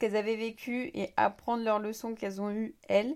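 This woman's fairly high-pitched voice moves at a fairly quick pace. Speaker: podcaster and social media creator. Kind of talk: personal monologue.

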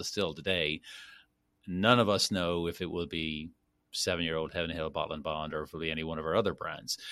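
A man with a Dublin accent, very deep and low in pitch, with a bright, sharp tone and fairly even intonation. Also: very clean recording, silent background. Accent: Irish (Dublin). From Ireland, Dublin. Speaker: master distiller. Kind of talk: interview.

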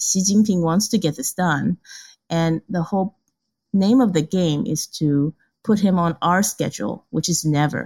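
Somewhat breathy and at medium pitch, a woman speaks at a moderate pace with ordinary pitch variation on a very clean recording with a silent background and a dry, close sound with no echo. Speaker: Taiwan analyst. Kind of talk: expert interview.

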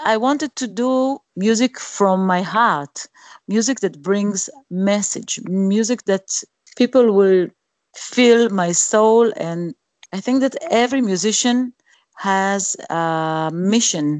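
Heard in a dry, close sound with no echo, a woman with an Israeli accent speaks very slowly with ordinary pitch variation. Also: medium pitch for a woman. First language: Hebrew. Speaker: singer. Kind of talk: interview. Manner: halting.

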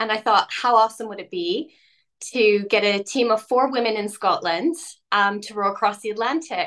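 At a moderate pace, an unremarkable speaking voice comes through with big swings in loudness. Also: woman, fairly high pitch for a woman, ordinary pitch variation. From Canada. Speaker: ocean rower. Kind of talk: interview.

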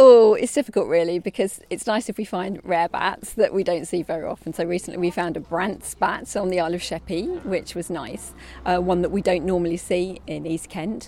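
Speaking at a fairly quick pace with hardly any pauses, a woman in a normal speaking voice keeps to a medium pitch with ordinary pitch variation. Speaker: bat expert. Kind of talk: interview.

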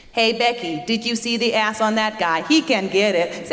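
A female-sounding, robotic put-on character voice with fairly high pitch for a woman speaks at a moderate pace, with slight echo and light background noise. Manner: sassy, robotic.

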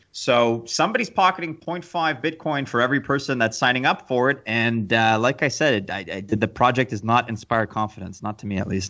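Speaking in a Canadian accent, a man with a plain, everyday voice goes at a fairly quick pace with hardly any pauses. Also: medium pitch for a man, ordinary pitch variation. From Canada. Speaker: podcast co-host. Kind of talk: casual chat.

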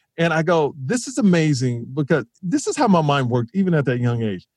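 The speaker has an American accent and talks at a moderate pace with very wide pitch swings. The sound is dry and close, with no echo. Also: man. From Houston, Texas. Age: 40s. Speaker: comedian. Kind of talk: casual chat.

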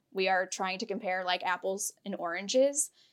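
A woman with an American accent, medium pitch, ordinary pitch variation, and a fairly slow pace. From Pennsylvania, small town. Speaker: anti-diet coach. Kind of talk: podcast interview.

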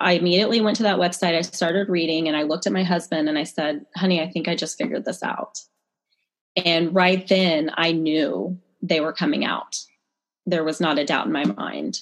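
Fairly quick delivery in a normal speaking voice, ordinary pitch variation throughout. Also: woman, fairly low pitch for a woman. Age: 30s. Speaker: chiropractor. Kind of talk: interview.

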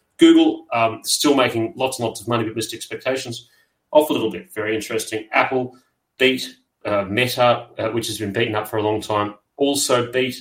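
Somewhat breathy and medium in pitch, a man with an Australian accent speaks at a fairly quick pace with fairly even intonation. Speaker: podcast host and investment manager. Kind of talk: casual interview. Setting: studio.

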